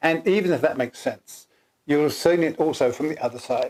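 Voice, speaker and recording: A man's fairly high voice in an English accent, fairly quick in pace, with ordinary pitch variation. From England. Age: 60s. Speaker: co-founder of a personality typing system. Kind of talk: casual chat.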